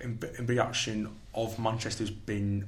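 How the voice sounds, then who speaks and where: A man with a fairly low pitch and vocal fry speaks in monotone, flat intonation amid audible room echo. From St Helens, Merseyside, England. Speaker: politics undergraduate student. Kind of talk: casual panel discussion. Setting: studio.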